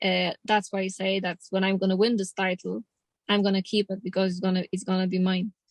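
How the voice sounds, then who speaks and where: Speaking at a fairly quick pace, a woman uses a medium pitch and monotone, flat intonation. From Poland. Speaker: pro boxer. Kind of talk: interview. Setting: in a car.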